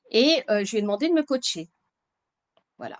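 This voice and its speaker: A woman speaks at a moderate pace with lively intonation in a very clean recording with a silent background. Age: 60s. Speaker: bodybuilding client, manager. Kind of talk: interview testimony.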